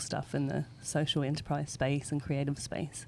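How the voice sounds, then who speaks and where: A woman talks at a fairly quick clip with a slight Australian accent. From Australia, Sydney. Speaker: parent, business owner. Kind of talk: interview.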